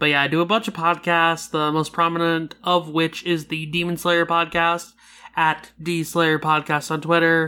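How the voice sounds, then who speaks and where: Moderate pace, very clean recording with a silent background. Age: 20s. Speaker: podcaster guest. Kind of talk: casual chat.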